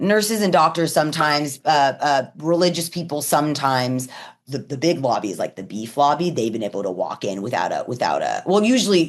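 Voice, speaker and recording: A woman speaks at a fairly quick pace with hardly any pauses, her pitch very deep and low. Her tone is animated, with very wide pitch swings. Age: 40s. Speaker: cannabis and psychedelics educator and activist. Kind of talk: casual interview. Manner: fast.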